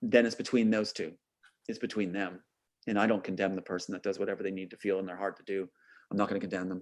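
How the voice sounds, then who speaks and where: Very fast speech from a man with a fairly low pitch. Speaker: filmmaker guest. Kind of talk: casual interview chat. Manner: animated.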